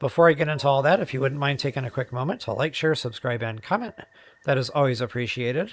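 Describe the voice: A man puts on a raspy, hoarse character voice at a medium pitch. He rattles along at a very fast pace.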